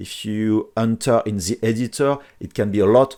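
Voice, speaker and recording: Someone with a French accent speaks at a fairly slow pace on a very clean recording with a silent background. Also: man. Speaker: 3D printing software tutor. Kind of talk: tutorial. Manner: hesitant with fillers.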